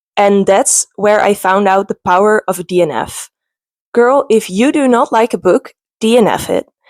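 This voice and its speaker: In a Dutch accent, a woman speaks with a fairly high pitch and ordinary pitch variation, captured with a dry, close sound and no echo. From Netherlands. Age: 20s. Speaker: booktuber. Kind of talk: casual vlog talk.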